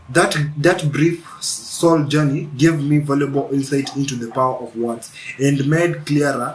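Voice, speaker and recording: A man talks at a moderate pace with fairly even intonation. There is noticeable background noise. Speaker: spiritual video creator. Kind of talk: spiritual monologue. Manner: halting, repeats words.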